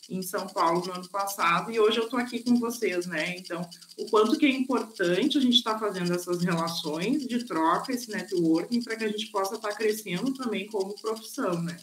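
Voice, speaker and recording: Spoken at a moderate pace with hardly any pauses and ordinary pitch variation, the clip carries noticeable background noise. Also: woman, medium pitch for a woman. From southern Brazil (Rio Grande do Sul). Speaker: nurse. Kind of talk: online course talk and Q&A.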